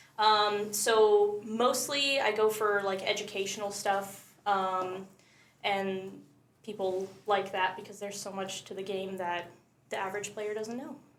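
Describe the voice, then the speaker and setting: Fairly slow, fairly even speech from a woman, with audible room echo. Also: medium pitch for a woman. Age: 20s. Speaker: content creator. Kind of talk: casual chat. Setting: live podcast.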